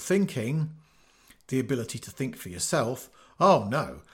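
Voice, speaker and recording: Somewhat breathy and with an English accent, a man at medium pitch makes very wide pitch swings while keeping a moderate pace. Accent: obvious English. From England. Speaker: podcast host, retired teacher. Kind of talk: scripted narration.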